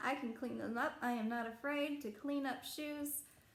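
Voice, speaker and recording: In a room with audible echo and noticeable background noise, a woman speaks at a fairly slow pace with a high pitch. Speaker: reseller vlogger. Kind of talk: unboxing vlog. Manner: casual, hesitant with fillers.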